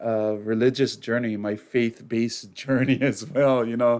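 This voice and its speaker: A man's plain, everyday voice at a medium pitch, fairly slow pace and fairly even intonation, on a very clean recording with a silent background. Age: 40s. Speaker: podcast guest. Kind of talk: casual interview chat.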